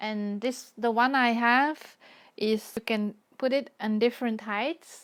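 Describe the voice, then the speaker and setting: A woman with a Dutch accent at a fairly high pitch, very slow pace and fairly even intonation, in a very clean recording with a silent background. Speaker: watercolor artist. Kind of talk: live stream chat while painting. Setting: live stream.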